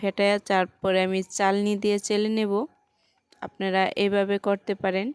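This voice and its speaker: A woman speaks at medium pitch in a monotone, flat intonation, her sound dry and close with no echo, while music plays in the background. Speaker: home cooking video creator. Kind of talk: cooking tutorial. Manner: halting, pausing often.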